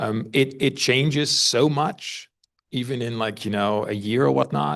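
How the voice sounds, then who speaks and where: A man talks at a moderate pace and a medium pitch, with ordinary pitch variation. The background is quiet. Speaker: workshop participant, software developer. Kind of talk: open discussion at a workshop. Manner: hesitant, many repetitions.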